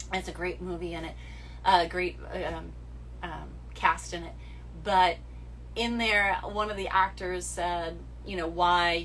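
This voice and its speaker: With a slight New England accent, a woman speaks at a fairly slow pace with long, frequent pauses and big swings in loudness, over noticeable background noise and audible room echo. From New England, US. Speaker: social media model. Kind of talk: livestream chat answering viewer questions. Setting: Instagram live stream. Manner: direct.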